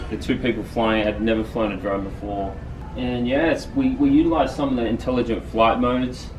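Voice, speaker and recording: A man with a medium-pitched voice talks at a fairly quick pace. There is noticeable background noise and audible room echo. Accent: Australian. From Australia. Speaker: drone pilot. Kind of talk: product presentation.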